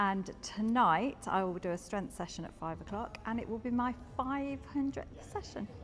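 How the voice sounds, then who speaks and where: In a plain, everyday voice, a woman speaks at a moderate pace with a fairly high pitch and lively intonation. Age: 50s. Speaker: gym member. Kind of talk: interview testimony.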